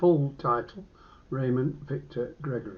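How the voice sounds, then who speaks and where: A man with an English accent talks fairly slowly at medium pitch, with ordinary pitch variation. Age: 80s+. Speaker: vlogger documenting his cancer. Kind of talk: personal video diary. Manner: halting.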